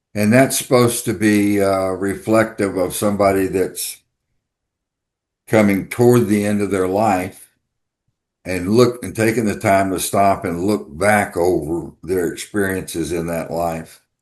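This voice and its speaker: A fairly slow delivery with a Texan accent, fairly even intonation and a quiet background. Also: man, fairly low pitch for a man. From Texas. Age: 70s. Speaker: writer. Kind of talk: podcast interview. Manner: halting.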